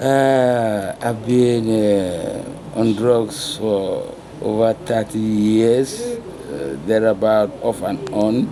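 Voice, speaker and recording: A man's medium-pitched voice, very slow with ordinary pitch variation, over noticeable background noise. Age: 60s. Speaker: former drug user. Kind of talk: interview. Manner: halting, many fillers.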